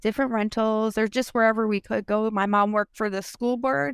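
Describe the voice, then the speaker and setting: On a very clean recording with a silent background, a woman with a normal speaking voice talks at a fairly high pitch with ordinary pitch variation. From Minnesota. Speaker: domestic abuse survivor and business owner. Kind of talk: personal testimony interview.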